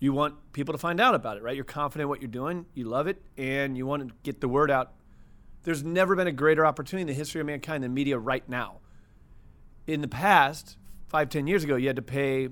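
A man talks at a fairly quick pace, his pitch fairly high with ordinary variation. The recording is very clean, with a silent background. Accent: Midwestern American. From US Midwest, St. Louis, Missouri. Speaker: media entrepreneur. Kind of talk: casual interview chat. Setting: studio.

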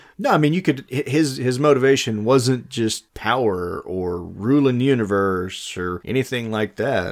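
Over a very clean recording with a silent background, a man with a normal speaking voice at medium pitch talks at a fairly slow pace with lively intonation and hardly any pauses. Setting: home recording with two mics.

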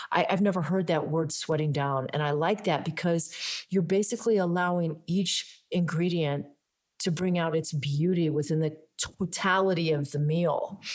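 On a very clean recording with a silent background, a woman with a fairly low pitch and an ordinary speaking voice talks at a moderate pace with ordinary pitch variation. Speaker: wellness podcast host. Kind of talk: interview. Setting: in person on location.

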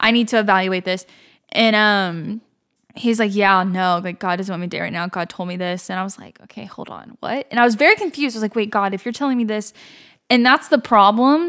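In a very clean recording with a silent background, an ordinary speaking voice moves at a fairly quick pace, with ordinary pitch variation and big swings in loudness. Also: woman, medium pitch for a woman. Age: 20s. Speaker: podcast guest. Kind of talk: casual chat.

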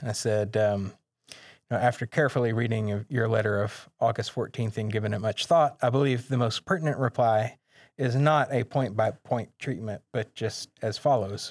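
A man speaks at a moderate pace with a medium pitch and ordinary pitch variation. The recording is very clean with a silent background and a dry, close sound with no echo. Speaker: New Testament manuscript scholar. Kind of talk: panel discussion on biblical scholarship. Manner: many filler words and hesitations.

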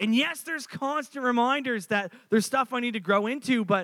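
An animated, bright and sharp tone at a fairly quick pace, with ordinary pitch variation. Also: man. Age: 30s. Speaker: pastor. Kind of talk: sermon. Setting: church.

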